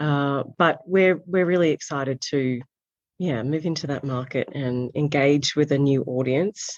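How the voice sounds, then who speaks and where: With an Australian accent, a woman speaks in a very deep, low pitch. Her tone is calm and her pace fairly slow. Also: ordinary pitch variation. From Australia, south coast. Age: 40s. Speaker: magazine founder and editor. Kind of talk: interview.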